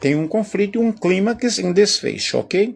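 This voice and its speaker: A man with a high pitch talks at a moderate pace. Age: 60s. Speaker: teacher. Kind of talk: lecture. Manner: casual, conversational.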